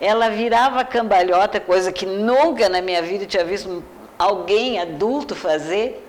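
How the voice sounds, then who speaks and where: Over noticeable background noise, a woman of medium pitch talks at a fairly slow pace with ordinary pitch variation. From Brazil, Porto Alegre (Rio Grande do Sul). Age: 70s. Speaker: educator and teacher. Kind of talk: interview.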